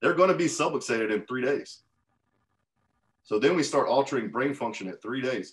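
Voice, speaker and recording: Very fast speech from a man at a medium pitch, full of lively intonation. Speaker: chiropractic practice coach. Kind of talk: group coaching call. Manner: forceful.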